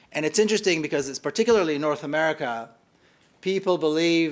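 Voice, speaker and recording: Speaking at a fairly quick pace with an Israeli accent, a man uses a fairly high pitch with ordinary pitch variation in a very clean recording with a silent background. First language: Hebrew. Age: 50s. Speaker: author and activist. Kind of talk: public lecture. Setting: hall with live audience.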